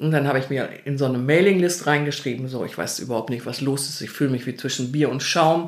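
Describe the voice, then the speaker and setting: Words come at a very fast pace with hardly any pauses and ordinary pitch variation, over audible room echo. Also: woman, very deep, low pitch for a woman. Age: 60s. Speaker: interviewee sharing coming-out story. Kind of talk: casual interview conversation. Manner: animated.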